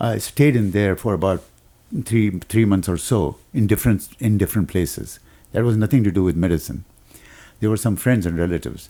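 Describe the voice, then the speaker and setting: A man's fairly low-pitched voice with a dark, mellow tone and ordinary pitch variation. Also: fairly quick pace. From Pakistan (Karachi). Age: 70s. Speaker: retired psychiatrist. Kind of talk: interview. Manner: halting.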